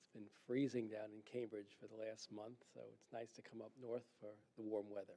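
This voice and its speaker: A man speaks in a dark, mellow tone at a moderate pace. His intonation is monotone and flat, while his loudness swings widely. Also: medium pitch for a man. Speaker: legal analyst and attorney. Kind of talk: public lecture. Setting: lecture hall with audience. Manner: soft-spoken.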